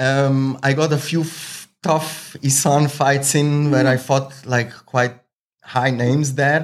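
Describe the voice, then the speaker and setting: The speech is very slow, with monotone, flat intonation. Its loudness stays very even. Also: man, fairly high pitch for a man. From Switzerland (Zurich), Slovenian-Croatian family. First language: Swiss German or Slovenian/Croatian. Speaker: Muay Thai fighter and coach. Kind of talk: casual interview.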